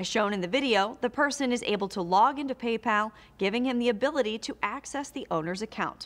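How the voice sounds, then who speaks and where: This woman's tone is bright and sharp, with ordinary pitch variation. She talks at a fairly quick pace. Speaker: news presenter. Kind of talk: news reading. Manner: formal; brisk, even-paced. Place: studio.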